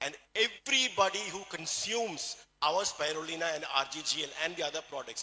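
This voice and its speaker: A man with a Keralan accent. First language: Malayalam. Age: 60s. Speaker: doctor and supplement seller. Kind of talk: motivational sales talk.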